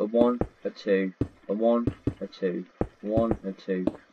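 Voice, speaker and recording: A man of medium pitch speaks fairly slowly with fairly even intonation. The sound is dry and close with no echo, though background noise is noticeable. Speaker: Minecraft tutorial creator. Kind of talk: tutorial. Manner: counting aloud, repetitive.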